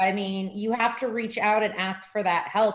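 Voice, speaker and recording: An American accent comes through from a woman with an ordinary speaking voice. Her pitch is medium. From Texas, Corpus Christi. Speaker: school board candidate, military spouse. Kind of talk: casual chat. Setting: video call.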